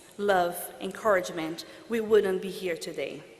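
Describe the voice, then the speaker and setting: With music in the background and audible room echo, a woman in a Portuguese accent speaks at a medium pitch and a fairly slow pace with fairly even intonation. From Brazil. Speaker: international law graduate. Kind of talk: commencement speech. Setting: stage with audience.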